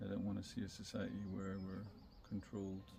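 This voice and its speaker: A man with a fairly low pitch speaks in a calm tone with monotone, flat intonation over noticeable background noise. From Scotland and northern England. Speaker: wellbeing podcaster. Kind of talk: reflective monologue. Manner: halting with many fillers.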